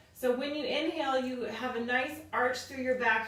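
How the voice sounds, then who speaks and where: A woman's high, calm voice with audible room echo. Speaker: fitness instructor. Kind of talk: workout class instruction. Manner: calm, guiding breathwork cues.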